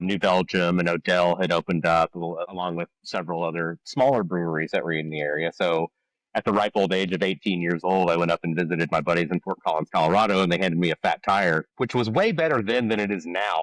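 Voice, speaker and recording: A man with a slight Texan accent and a very deep, low pitch, talking at a very fast pace with hardly any pauses and fairly even intonation, on a very clean, dry, close recording with a silent background and no echo. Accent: slight Texas. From Texas, Dallas. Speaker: head brewer. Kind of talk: casual chat.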